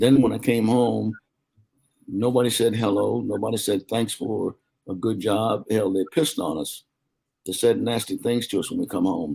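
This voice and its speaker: In an American accent, a man speaks at a fairly low pitch with vocal fry. His pace is moderate and his pitch variation ordinary. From US South, South Carolina. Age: 80s+. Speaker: war veteran. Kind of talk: interview.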